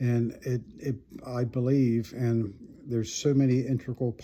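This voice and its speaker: A man talks at a medium pitch in a dark, mellow tone with monotone, flat intonation. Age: 70s. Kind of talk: personal testimony monologue. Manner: halting, many repetitions.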